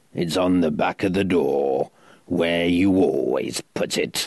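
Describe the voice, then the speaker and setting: In a put-on character voice, a man growls gruff and raspy at a very deep, low pitch and fairly slow pace, his loudness very even and the sound dry and close with no echo. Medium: audio drama. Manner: gruff, snapping, secretly concerned.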